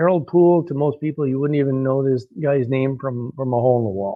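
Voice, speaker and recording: Using an ordinary speaking voice, a man talks at a fairly high pitch with ordinary pitch variation. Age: 60s. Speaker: personal trainer. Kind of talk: personal testimony monologue. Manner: casual with many fillers.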